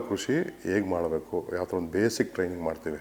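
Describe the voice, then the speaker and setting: Background noise is noticeable here. Over it, a man talks with a very deep, low pitch. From India, Bangalore (born in Mandya). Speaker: organic farmer and former election candidate. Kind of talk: interview.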